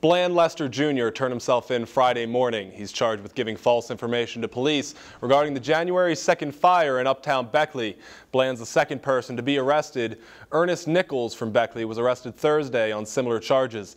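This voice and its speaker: In a quiet background, a man talks at a fairly quick pace with a medium pitch and ordinary pitch variation. He has an ordinary speaking voice. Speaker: news anchor. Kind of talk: local TV news anchor read.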